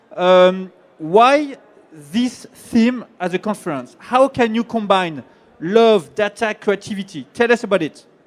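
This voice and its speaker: With a French accent, a man speaks at a high pitch and a fairly slow pace. His intonation is lively. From France. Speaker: panel moderator. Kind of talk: panel introduction. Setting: conference stage with audience. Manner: hesitant, many fillers.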